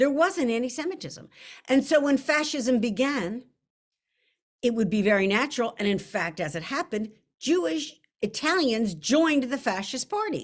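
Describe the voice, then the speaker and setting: Loud and animated, a woman speaks at a high pitch with lively intonation. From US, Italian-American. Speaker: novelist. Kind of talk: author interview.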